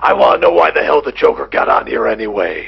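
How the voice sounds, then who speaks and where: In a put-on character voice, a man speaks raspy and at a very fast pace, his pitch extremely high. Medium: comedy sketch. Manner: gruff, terse.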